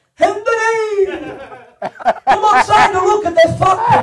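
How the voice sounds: A put-on character voice with a strong Italian accent, pitched extremely high. It moves at a very slow pace. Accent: thick Italian.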